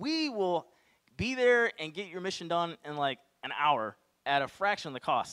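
Bright, sharp tone marks this man's voice. He talks at a moderate pace over a quiet background. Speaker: presenter. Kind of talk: Q&A answer to audience. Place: hall. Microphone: handheld.

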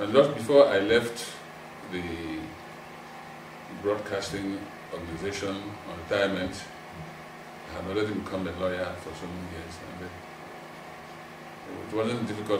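Noticeable background noise accompanies a man who talks at a moderate pace with long, frequent pauses. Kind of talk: interview answer. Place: home room.

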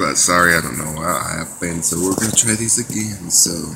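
A man with a very deep, low pitch and ordinary pitch variation over noticeable background noise. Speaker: vlogger. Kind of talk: casual vlog chat. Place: home room. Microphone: phone near.

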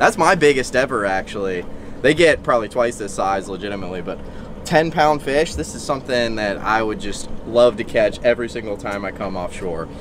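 A man's voice shows big swings in loudness, with a dry sound with no echo and noticeable background noise. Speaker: fishing vlogger. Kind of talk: casual vlog chat. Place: boat. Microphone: camera far.

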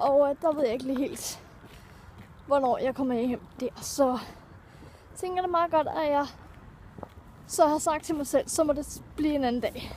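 The sound is dry, with no echo, over light background noise. Long pauses come often. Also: woman, high pitch for a woman, ordinary pitch variation. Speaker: vlogger. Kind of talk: casual vlog chat. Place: street. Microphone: phone near.

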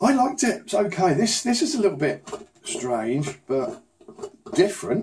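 A man with a British accent talks in a high voice at a moderate pace. His pitch swings very widely, with light background noise. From UK. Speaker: unboxing YouTuber; unboxing channel host. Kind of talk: casual unboxing vlog; casual vlog chat. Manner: subdued, less enthusiastic than usual; hesitant, many fillers.

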